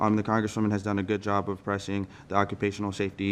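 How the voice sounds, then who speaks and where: Speaking at a very fast pace, a man uses a fairly low pitch. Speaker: congressional staff member. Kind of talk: public meeting presentation. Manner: halting.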